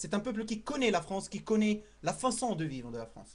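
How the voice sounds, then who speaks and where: Speaking at a moderate pace, a man sounds animated, his pitch high. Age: 20s. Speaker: student making a video message. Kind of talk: impassioned appeal to camera.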